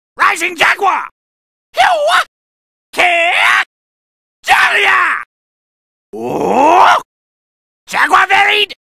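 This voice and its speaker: Using a put-on character voice at an extremely high pitch, a man speaks very slowly with long, frequent pauses. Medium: dub. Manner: cocky, shouted battle cries.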